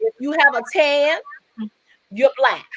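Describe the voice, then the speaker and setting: A woman with a high voice sounds animated, her intonation lively. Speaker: live show host and fitness competitor. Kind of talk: casual chat. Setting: live video stream.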